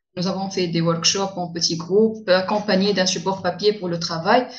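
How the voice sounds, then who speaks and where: A woman talks in a normal speaking voice. Her pitch is medium, with fairly even intonation. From Tunisia. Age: young. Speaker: young lawyer. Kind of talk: interview.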